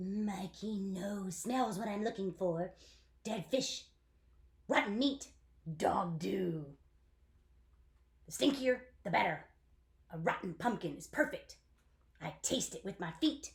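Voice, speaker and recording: Putting on a character voice, a woman speaks at a medium pitch and a fairly slow pace, with long, frequent pauses. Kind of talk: children's book read-aloud.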